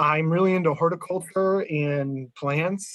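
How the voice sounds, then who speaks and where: The speaker is a man with an American accent. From New England, US. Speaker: business intelligence engineer, guest speaker. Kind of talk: presentation to user group.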